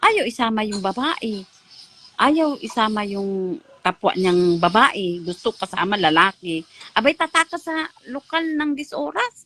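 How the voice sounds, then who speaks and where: A woman's fairly high voice with a Visayan accent, animated tone, very wide pitch swings and a fairly slow pace, dry and close with no echo, over noticeable background noise. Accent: Visayan-accented Tagalog. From Mindanao, Philippines. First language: Cebuano (speaking Tagalog). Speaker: ex-church member. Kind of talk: testimony.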